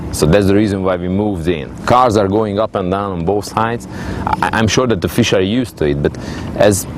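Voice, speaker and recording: A man talks at a fairly quick pace in a fairly low voice with a Hungarian accent. His pitch varies in an ordinary way, over noticeable background noise. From Hungary. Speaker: angling team captain. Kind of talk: interview. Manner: halting.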